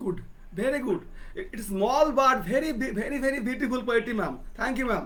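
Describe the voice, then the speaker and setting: Over audible room echo, a man talks at a very fast pace in an extremely high pitch, with ordinary pitch variation. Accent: Bengali. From India, West Bengal. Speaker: poet and talk show host. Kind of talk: interview. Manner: halting.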